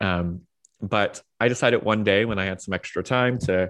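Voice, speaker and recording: Over a quiet background, a man with an American accent and a plain, everyday voice talks at a fairly low pitch, a moderate pace, and with fairly even intonation. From US, Washington D.C. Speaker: pastor and author. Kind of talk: casual interview.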